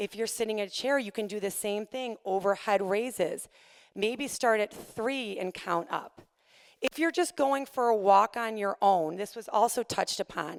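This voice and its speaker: A woman's fairly high voice, with ordinary pitch variation, comes through dry and close with no echo on a very clean recording over a silent background. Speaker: fitness instructor. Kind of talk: presentation. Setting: stage with audience. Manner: fast.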